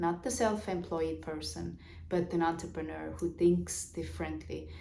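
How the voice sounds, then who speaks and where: Audible room echo surrounds the woman as she talks. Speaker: business coach. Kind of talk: vlog monologue on business. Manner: halting, many fillers.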